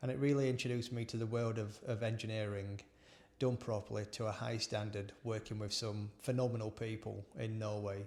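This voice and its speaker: A man with a South Yorkshire accent speaks at a fairly quick pace. His voice is fairly low in pitch, with monotone, flat intonation. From northern England (Barnsley, South Yorkshire). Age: 40s. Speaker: engineer and former business owner. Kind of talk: personal storytelling monologue. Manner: halting, with repetitions and fillers.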